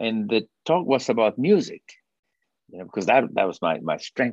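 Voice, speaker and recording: A man speaks at a fairly quick pace in a Spanish accent. His pitch is medium and his intonation lively. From Peru. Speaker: orchestra conductor and compost business founder. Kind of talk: casual interview. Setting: video call.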